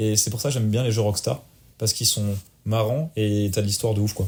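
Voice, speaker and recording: A man's fairly low-pitched, dark, mellow and somewhat breathy voice at a fairly quick pace on a very clean recording with a silent background. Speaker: podcast co-host and streamer. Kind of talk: casual chat. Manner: fast; poor articulation.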